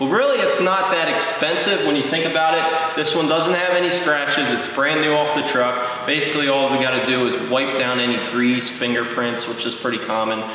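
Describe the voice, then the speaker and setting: A man speaks at a fairly quick pace with strong room echo and light background noise. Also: ordinary pitch variation, hardly any pauses. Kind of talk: casual vlog chat. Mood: friendly, upbeat. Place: garage.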